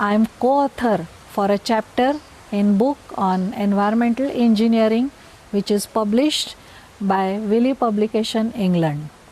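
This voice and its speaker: Spoken in a Marathi accent at a moderate pace, the voice has ordinary pitch variation and very even loudness over noticeable background noise. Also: woman, fairly high pitch for a woman. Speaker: scientist. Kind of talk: recorded self-introduction.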